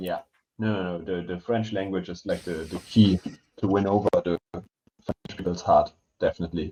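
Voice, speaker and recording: Speaking at a moderate pace in a German accent, a man has a very deep, low pitch, a dark, mellow tone and monotone, flat intonation, recorded dry and close with no echo. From Germany. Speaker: language teacher and podcast co-host. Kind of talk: casual chat. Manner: hesitant.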